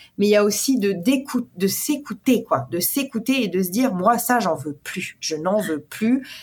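A somewhat breathy woman with a fairly high pitch speaks at a fairly slow pace with hardly any pauses and very wide pitch swings. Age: 30s. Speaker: portrait photographer. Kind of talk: interview.

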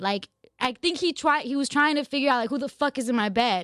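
In a very clean recording with a silent background and a dry, close sound with no echo, a woman with a high pitch speaks in an animated tone with lively intonation. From Los Angeles (Glendale). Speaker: podcast host. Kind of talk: casual chat. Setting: studio. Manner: animated, laughs often.

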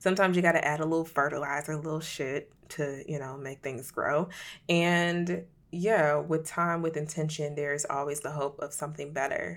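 The speech moves at a moderate pace with fairly even intonation on a very clean recording with a silent background. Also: woman, very deep, low pitch for a woman. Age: 30s. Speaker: podcast host and creative activist. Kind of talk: casual solo monologue. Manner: casual, filler-heavy (um, like).

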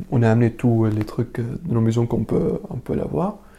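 The pace of this man's speech is moderate. His voice sits at a medium pitch. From Syria, Damascus. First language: Arabic (speaking French). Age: 20s. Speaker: refugee interviewee. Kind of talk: personal testimony interview. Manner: halting, many hesitations and repetitions.

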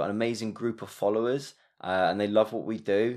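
A man with a fairly low pitch uses a normal speaking voice against a quiet background. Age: 30s. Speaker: yoga instructor and studio owner. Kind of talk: casual interview.

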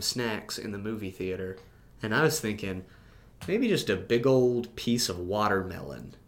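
Audible room echo surrounds a man's fairly low voice as he talks at a moderate pace with ordinary pitch variation. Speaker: podcast co-host. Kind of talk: casual chat. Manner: loud.

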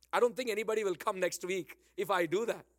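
A man speaks in an animated tone with an Indian accent. The recording is very clean with a silent background and a dry, close sound with no echo. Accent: Indian English, Bangalore. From Bangalore, India. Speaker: pastor. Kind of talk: sermon. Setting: church. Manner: animated, exhortative.

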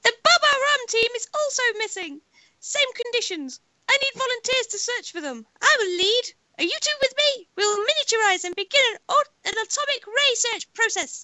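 A put-on character voice sounds robotic and raspy, pitched extremely high. It moves at a moderate pace.

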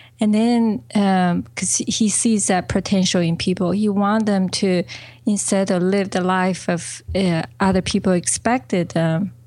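In a Chinese accent, a woman speaks at a medium pitch with ordinary pitch variation on a very clean recording with a silent background. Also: very even loudness. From China. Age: 40s. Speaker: business coach. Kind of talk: interview.

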